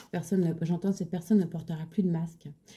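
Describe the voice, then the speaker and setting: A woman talks at a moderate pace in a dark, mellow, somewhat breathy voice with monotone, flat intonation. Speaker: tarot card reader. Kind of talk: tarot reading. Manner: halting; soft-spoken, low voice.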